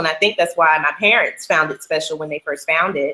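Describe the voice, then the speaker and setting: Here a woman talks at a fairly quick pace in an American accent. Her tone is bright and sharp, with ordinary pitch variation. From Atlanta, Georgia, US South. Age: 20s. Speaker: dancer and choreographer. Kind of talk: interview. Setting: video call.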